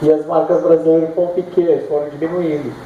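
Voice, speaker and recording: The man's voice has a high pitch. Audible room echo and noticeable background noise are present. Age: 50s. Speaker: surfer and author. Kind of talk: book launch talk. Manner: casual, halting.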